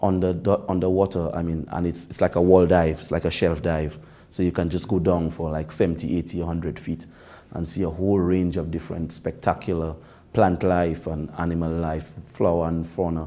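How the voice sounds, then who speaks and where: A man's very deep, low voice in a Dominican accent, dark and mellow, with monotone, flat intonation. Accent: Dominican Caribbean English. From Dominica (Portsmouth). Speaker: government minister. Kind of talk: interview. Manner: hesitant, many fillers.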